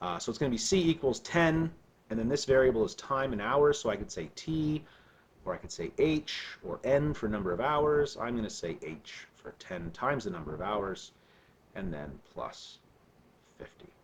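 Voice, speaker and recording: At a moderate pace, a man talks in a medium-pitched, somewhat breathy voice with very wide pitch swings and big swings in loudness. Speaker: math teacher. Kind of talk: recorded lesson. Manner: casual, with fillers.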